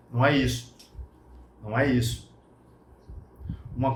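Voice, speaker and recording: A man speaks at a fairly slow pace in an animated tone. Audible room echo surrounds his voice. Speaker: martial arts instructor. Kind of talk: casual talk / interview-style explanation.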